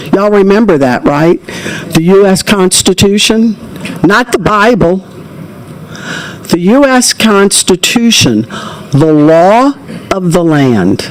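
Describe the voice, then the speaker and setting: Over noticeable background noise, the speaker talks very slowly with a Louisiana accent and long, frequent pauses. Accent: US Southern (Louisiana). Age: 70s. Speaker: public hearing witness. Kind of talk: testimony. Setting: legislative committee hearing.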